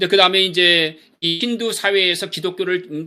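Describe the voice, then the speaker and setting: A man talks at a fairly quick pace and a high pitch, with lively intonation. His tone is bright and sharp. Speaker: missions lecturer. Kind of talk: lecture. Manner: fast.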